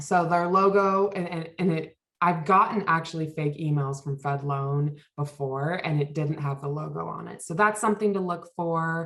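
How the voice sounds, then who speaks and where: A woman's plain, everyday voice, fairly low in pitch, at a moderate pace with ordinary pitch variation and hardly any pauses. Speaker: financial wellness workshop presenter. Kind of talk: workshop presentation.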